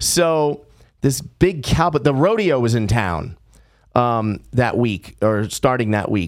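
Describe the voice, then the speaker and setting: An ordinary speaking voice with an American accent and lively intonation, in a very clean recording with a silent background. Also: man. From Los Angeles, California. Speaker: podcaster and former stand-up comedian. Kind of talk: casual chat.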